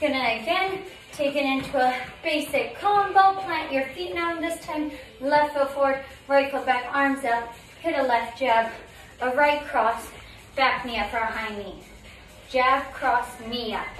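At a fairly slow pace with long, frequent pauses, a woman with a high pitch and ordinary pitch variation is heard in audible room echo over light background noise. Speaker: fitness instructor. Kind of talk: workout instruction cues. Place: home room.

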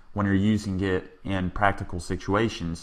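With a Texan accent, a man speaks at a moderate pace in a fairly low pitch with a bright, sharp tone. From Texas. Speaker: programming instructor. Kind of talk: tutorial.

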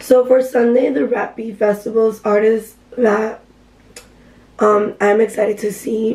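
Fairly slow speech in an American accent, with monotone, flat intonation and long, frequent pauses, comes through over noticeable background noise. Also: woman. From Miami, Florida. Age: 20s. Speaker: vlogger. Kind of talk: casual vlog talk. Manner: casual, filler-heavy.

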